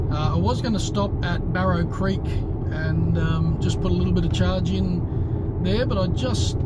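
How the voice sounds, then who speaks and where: Against loud background noise, a man talks at a fairly slow pace in a dry sound with no echo. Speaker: road trip vlogger driving. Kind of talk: casual vlog chat. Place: car. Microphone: phone near.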